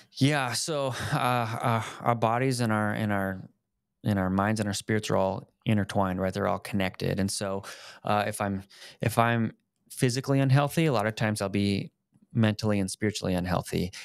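A man at a fairly low pitch with ordinary pitch variation and a moderate pace, dry sound with no echo against a quiet background. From Colorado. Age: 30s. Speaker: fitness and faith video host; faith video host. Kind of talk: casual chat. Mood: earnest, reflective. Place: home room. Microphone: studio mic.

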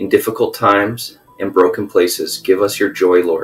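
A man is talking while faint music sounds in the background. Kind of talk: prayer. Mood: solemn, reverent. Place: home room. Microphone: webcam.

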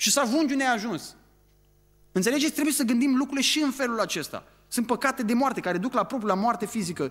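Over a quiet background, a man talks very fast at an extremely high pitch. His tone is animated, with ordinary pitch variation. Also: very even loudness. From Romania. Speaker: preacher. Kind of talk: sermon. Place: church. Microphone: podium.

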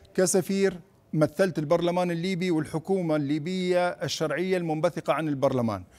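This man's voice has a high pitch and fairly even intonation. He speaks at a moderate pace. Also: hardly any pauses. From Libya, raised in Tripoli; Libya. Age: 50s. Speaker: politician and presidential candidate; politician, candidate. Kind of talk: TV news interview; interview answer. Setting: studio. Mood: earnest, firm. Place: studio. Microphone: lapel.

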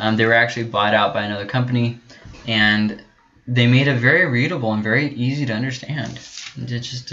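Noticeable background noise sits behind a man talking at a very fast pace with medium pitch and fairly even intonation. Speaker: Bible teacher. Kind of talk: lecture. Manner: hesitant, many filler words.

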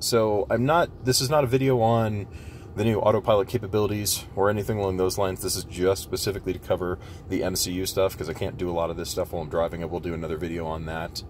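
Against light background noise, a man with a very deep, low pitch talks very fast with ordinary pitch variation. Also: dry sound with no echo. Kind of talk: tutorial walkthrough. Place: car. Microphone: phone near.

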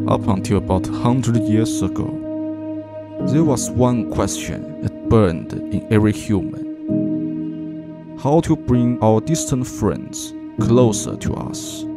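Music plays in the background as a man speaks at a very slow pace. His fairly low voice moves in very wide pitch swings. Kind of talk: movie trailer style dramatic narration.

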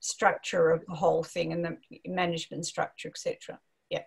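With fairly even intonation, a woman speaks at a fairly low pitch, her voice carrying a slightly husky edge.

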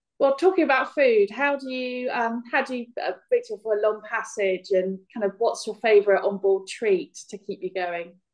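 At a moderate pace, a woman with a fairly high pitch speaks in a plain, everyday voice, her loudness swinging widely against a quiet background. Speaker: magazine editor, interviewer. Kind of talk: interview questions. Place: home room. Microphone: video call.

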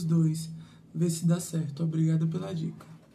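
A woman's somewhat breathy voice, fairly low in pitch, with a dark, mellow tone. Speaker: assistant reading viewer comments. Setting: live stream.

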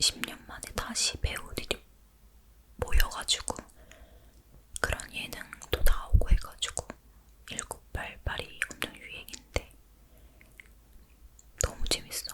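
A woman's very slow whispering, with long, frequent pauses, big swings in loudness and noticeable background noise. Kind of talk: ASMR whisper talk, casual chat about daily life. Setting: close-mic home recording in dim room. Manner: whispered, soft-spoken, intimate.

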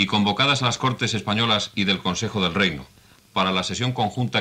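A man speaks at a fairly quick pace in a fairly low voice with ordinary pitch variation, music playing behind him. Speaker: radio announcer. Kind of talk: formal official announcement. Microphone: old recording.

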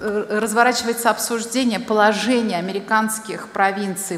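A woman keeps a moderate pace while the room's echo can be heard. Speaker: presenter. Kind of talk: lecture. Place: hall. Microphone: podium.

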